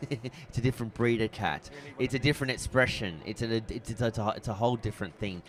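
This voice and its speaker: A man with an Australian accent, fairly low in pitch, at a fairly quick pace. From Australia, Brisbane. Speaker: photography competition judge. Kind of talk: live critique. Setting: trade show booth with audience, livestream. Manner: casual.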